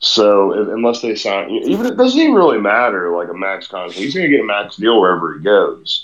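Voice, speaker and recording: A man speaks at a fairly quick pace, with hardly any pauses. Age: 30s. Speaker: podcast co-host. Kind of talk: casual sports chat.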